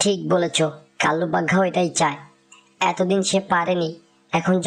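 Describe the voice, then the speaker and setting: A female-sounding put-on character voice, raspy and fairly low in pitch, moves at a moderate pace. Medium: cartoon. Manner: anxious, urgent.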